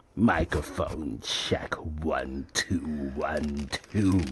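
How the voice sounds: In a put-on character voice, a man speaks at a very slow pace with a very deep, low pitch and a sinister tone.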